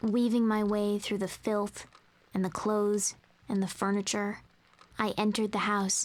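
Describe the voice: Just plain reading aloud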